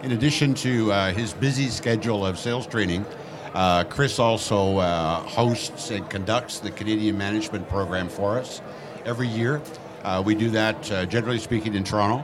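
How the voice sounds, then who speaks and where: In a room with audible echo and noticeable background noise, a man speaks at a moderate pace, his fairly low voice showing ordinary pitch variation. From Nova Scotia, Canada. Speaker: real estate executive. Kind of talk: live podcast interview. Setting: stage with audience at a conference.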